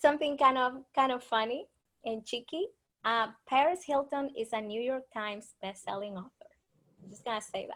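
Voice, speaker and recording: A woman with a Spanish accent, high-pitched, at a moderate pace with big swings in loudness. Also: ordinary pitch variation. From Dominican Republic. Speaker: author and speaker. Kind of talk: interview presentation.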